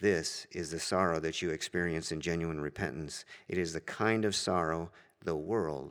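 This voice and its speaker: A man's very deep, low voice carries fairly even intonation at a moderate pace. The recording is very clean, with a silent background. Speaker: church elder teaching a class. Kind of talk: sermon. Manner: halting with many fillers.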